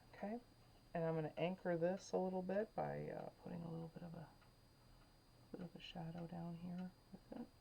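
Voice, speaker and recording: A soft-spoken woman whispers at a fairly quick pace, somewhat breathy, with long, frequent pauses. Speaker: painting instructor. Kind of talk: tutorial. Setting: at home. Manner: whispering, soft; halting, many fillers.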